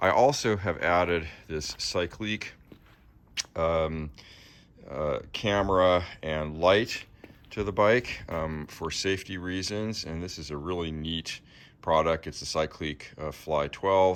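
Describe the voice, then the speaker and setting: Over a silent background in a very clean recording, a man with a very deep, low pitch talks at a fairly slow pace with ordinary pitch variation. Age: 60s. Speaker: recumbent cyclist reviewing his bike. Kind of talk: casual video review. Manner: hesitant, many fillers.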